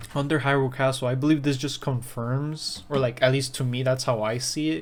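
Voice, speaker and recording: Fairly quick speech with a Spanish accent over noticeable background noise. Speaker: gaming YouTuber. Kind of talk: casual video commentary. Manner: halting, many fillers.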